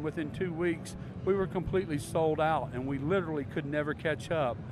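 A man with a Southern US accent, fairly high pitch, ordinary pitch variation and a moderate pace. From US South. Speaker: microphone company representative. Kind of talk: interview. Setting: trade show floor.

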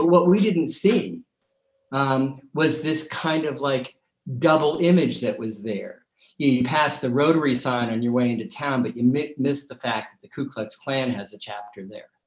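A plain, everyday voice with an American accent moves at a moderate pace. The intonation is lively, with big swings in loudness. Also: man, fairly high pitch for a man. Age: 60s. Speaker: documentary director. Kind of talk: interview.

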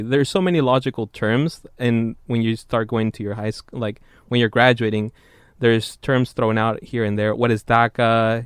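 A man with a plain, everyday voice talks at a moderate pace, his medium pitch carrying fairly even intonation. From San Jose, California (born in Mexico). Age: 20s. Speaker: engineering student researcher. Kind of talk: interview.

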